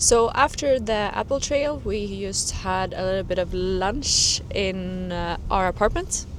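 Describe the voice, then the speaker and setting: A woman with a non-native accent, medium pitch and ordinary pitch variation, speaking at a fairly slow pace over noticeable background noise. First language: not English. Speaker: travel vlogger. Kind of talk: travel vlog chat.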